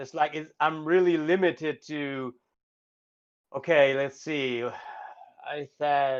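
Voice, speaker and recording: A man with a German accent speaks at a very slow pace, fairly high in pitch with fairly even intonation. The background is quiet. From Germany. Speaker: band vocalist. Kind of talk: casual chat. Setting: live stream.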